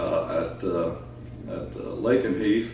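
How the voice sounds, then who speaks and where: A man talks in a space with audible room echo. Noticeable background noise is also present. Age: 80s+. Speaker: retired air force fighter pilot. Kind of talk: oral history interview. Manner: hesitant, many filler uhs.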